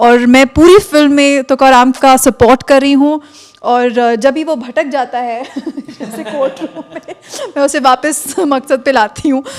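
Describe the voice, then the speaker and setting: A high-pitched woman's voice, with fairly even intonation, rises over noticeable background noise. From northern India, Maharashtrian family from Madhya Pradesh. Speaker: film actress. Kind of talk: press interview.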